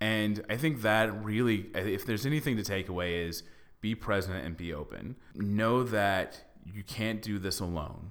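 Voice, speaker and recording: This is an unremarkable speaking voice from a man with an American accent and a fairly low pitch. He talks at a moderate pace. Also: ordinary pitch variation. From Texas (Dallas). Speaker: podcast host, actor. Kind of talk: casual chat.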